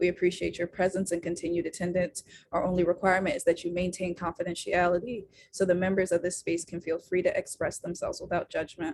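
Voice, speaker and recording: A woman's medium-pitched voice at a very fast pace. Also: fairly even intonation. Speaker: women's circle co-founder leading a workshop. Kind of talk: online workshop presentation. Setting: Zoom video call.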